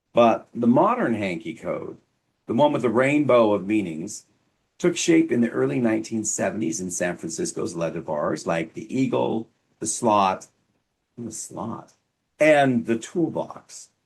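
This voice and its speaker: A man's medium-pitched voice at a fairly slow pace, with very wide pitch swings. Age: 50s; old. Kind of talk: casual educational talk to camera. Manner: wry, humorous.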